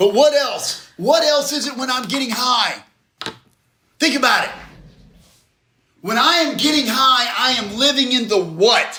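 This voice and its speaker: A man uses a raised, projected voice at a fairly slow pace, with long, frequent pauses. His pitch varies in an ordinary way, and the room echo is audible. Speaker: recovery speaker. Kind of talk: interactive group talk. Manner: loud; animated. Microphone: far from the recorder.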